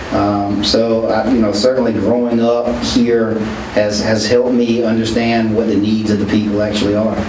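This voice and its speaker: In a Southern US accent, a man speaks at a moderate pace and medium pitch with monotone, flat intonation and very even loudness. Noticeable background noise and audible room echo fill the recording. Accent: Southern country accent, noticeable. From US South, rural South Carolina (Calhoun County). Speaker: politician. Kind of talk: radio interview. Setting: radio station. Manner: casual, folksy.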